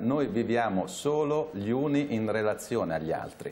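A man speaks with ordinary pitch variation. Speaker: sociologist; studio guest commentator. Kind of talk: talk show discussion. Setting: remote video link. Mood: calm, reflective. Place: studio.

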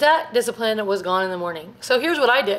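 Lively intonation marks a woman's very fast delivery. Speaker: family vlogger. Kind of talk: casual vlog chat. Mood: chatty, self-reflective, laughing. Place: home room. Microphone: phone near.

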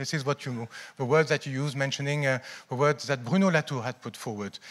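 With a quiet background, a man delivers his words at a fairly quick pace. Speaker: keynote speaker. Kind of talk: conference talk. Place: hall. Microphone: handheld.

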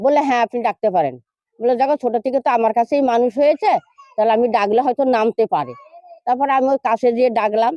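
A woman's high voice with ordinary pitch variation and very even loudness, in a dry, close sound with no echo. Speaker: grandmother of rescued man. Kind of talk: news interview.

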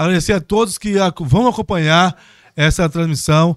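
A man at a high pitch, moderate pace and ordinary pitch variation, over a quiet background with a dry sound and no echo. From Brazil, Bom Jesus; Brazil. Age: 30s. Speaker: city councillor. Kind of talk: casual chat. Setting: studio. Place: studio. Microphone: studio mic.

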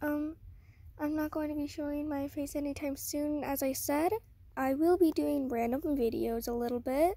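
A woman speaks at a high pitch with a dark, mellow tone and ordinary pitch variation. Her fairly slow delivery has long, frequent pauses, and the sound is dry with no echo. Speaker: beginner art channel creator. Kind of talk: casual talk to camera. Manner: shaky, hesitant. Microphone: phone near.

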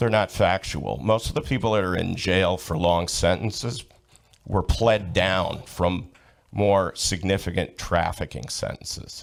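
A man's normal speaking voice, fairly low in pitch, at a fairly slow pace with ordinary pitch variation. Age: 60s. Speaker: public commenter. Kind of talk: heated debate.

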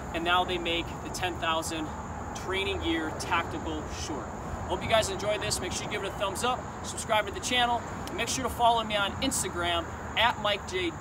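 A man's moderately paced speech competes with loud background noise. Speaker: fitness gear reviewer. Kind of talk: product review outro. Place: garden. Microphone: camera far.

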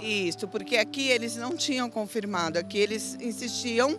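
A woman's fairly high-pitched voice with clear music in the background. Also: dry sound with no echo. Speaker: patient's wife. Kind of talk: interview answer. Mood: worried, earnest. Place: street. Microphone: handheld.

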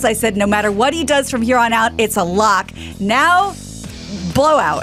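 Clear music plays in the background while a woman with a fairly high pitch speaks at a moderate pace. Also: lively intonation. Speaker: radio co-host and news reader. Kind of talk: casual banter. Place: studio. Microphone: studio mic.

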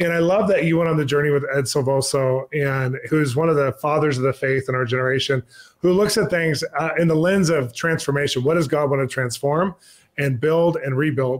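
A man speaks at a fairly quick pace with ordinary pitch variation. The background is quiet. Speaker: interview host. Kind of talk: interview question. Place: home room.

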